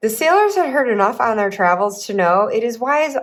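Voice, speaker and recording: With a Midwestern accent, a woman speaks in very wide pitch swings. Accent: Midwest American. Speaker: tarot reader and YouTuber. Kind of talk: reading aloud; casual chat.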